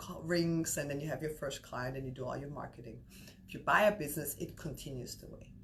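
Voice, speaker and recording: A woman with an Austrian accent, talking at a very fast pace with ordinary pitch variation. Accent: Austrian German accent, noticeable. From Austria, Vienna. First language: German. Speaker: business broker. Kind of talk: interview. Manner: many fillers and restarts.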